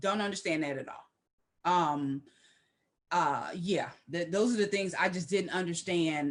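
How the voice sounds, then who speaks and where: A woman at a moderate pace. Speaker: discussion show co-host. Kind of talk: casual discussion. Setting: live stream.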